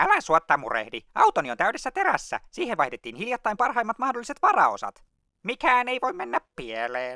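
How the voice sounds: A man performs a cartoonish character voice. He speaks in a raised, projected voice.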